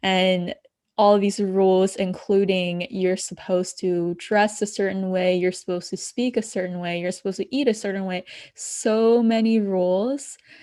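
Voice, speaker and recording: Over a quiet background, a woman of medium pitch speaks at a moderate pace in a dark, mellow tone with fairly even intonation. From abroad, moved to the US at ten. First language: not English. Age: young. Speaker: spiritual coach. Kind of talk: podcast interview.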